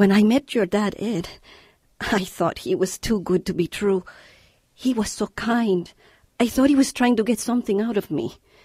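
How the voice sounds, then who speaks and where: A woman speaks at a moderate pace in a dark, mellow, somewhat breathy tone with ordinary pitch variation. The sound is dry with no echo, and the background is quiet. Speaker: actor voicing the mother. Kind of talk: radio drama dialogue. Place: studio.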